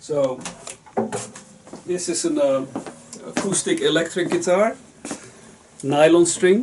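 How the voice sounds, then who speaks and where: Speaking at a very slow pace with long, frequent pauses, the voice has lively intonation over noticeable background noise. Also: man, high pitch for a man. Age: 60s. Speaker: guitar repairer and musician. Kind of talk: casual explanation to visitor. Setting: home workshop. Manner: halting, many fillers.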